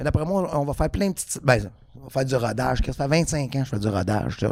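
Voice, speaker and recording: This man has an ordinary speaking voice, talking at a fairly quick pace with a fairly high pitch. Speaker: comedian. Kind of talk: casual chat.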